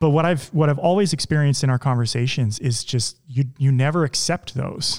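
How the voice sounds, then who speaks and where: A man in an ordinary speaking voice talks at a fairly quick pace, fairly high in pitch, with ordinary pitch variation and very even loudness. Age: 30s. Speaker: podcast host. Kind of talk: interview conversation.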